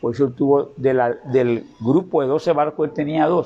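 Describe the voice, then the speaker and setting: A man talks at a moderate pace with a fairly high pitch. He has a plain, everyday voice and ordinary pitch variation. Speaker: veteran merchant. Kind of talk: interview. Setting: his home.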